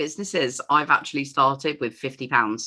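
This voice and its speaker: A woman speaks with an English accent in a bright, sharp tone. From England. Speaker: entrepreneur. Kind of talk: interview.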